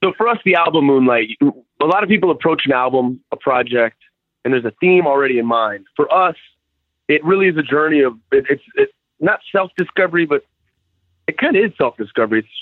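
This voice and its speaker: A man talks at a fairly quick pace in a plain, everyday voice, fairly high in pitch. His intonation is lively while his loudness stays very even. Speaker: musician. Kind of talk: interview.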